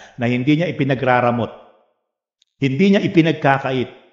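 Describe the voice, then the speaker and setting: Room echo is audible around a man as he speaks. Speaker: pastor. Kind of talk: sermon. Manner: strained, struggling to speak.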